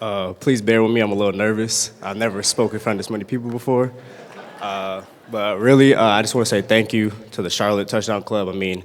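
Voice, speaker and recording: Noticeable background noise sits behind a man with a fairly low voice. He speaks at a very fast pace in a monotone, flat intonation. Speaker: college football player. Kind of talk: award acceptance speech. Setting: banquet stage with audience. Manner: halting, stuttering.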